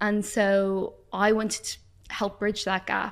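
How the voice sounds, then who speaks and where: A woman speaks with an Irish accent in a very clean recording with a silent background. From Ireland. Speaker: doctor and nutritionist. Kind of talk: casual chat. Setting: in-store recording studio.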